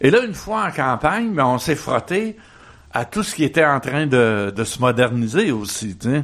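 Using a Quebec accent, a man speaks at a fairly slow pace. His fairly high pitch makes very wide swings. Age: 80s+. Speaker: activist and author. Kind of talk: radio interview. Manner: halting, many repetitions and fillers.

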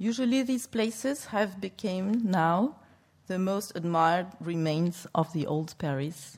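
The speaker has a French accent and lively intonation. The recording is very clean with a silent background. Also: woman. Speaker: museum curator. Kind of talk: lecture. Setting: stage with audience. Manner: halting.

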